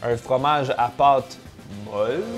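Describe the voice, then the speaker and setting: Someone speaks in a Quebec accent while music plays in the background. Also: man. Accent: Québécois French. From Quebec, Canada. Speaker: food tasting YouTuber. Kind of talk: casual talk to camera, food tasting vlog.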